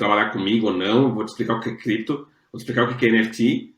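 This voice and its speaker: The speaker is a man with a medium pitch. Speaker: NFT artist manager. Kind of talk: interview answer.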